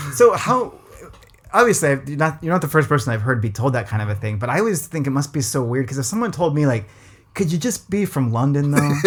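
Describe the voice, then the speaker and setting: A man with a West Coast accent talks at a very fast pace, his fairly high pitch making very wide swings. His voice is somewhat breathy. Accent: General American West Coast, slightly shifted. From US West Coast, Los Angeles. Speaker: podcast host. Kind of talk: casual conversation.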